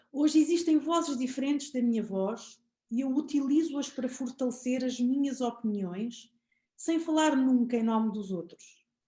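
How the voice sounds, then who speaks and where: Her voice sits high for a woman, and its pitch moves in an ordinary way. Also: moderate pace. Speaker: podcast host. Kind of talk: poetry reading.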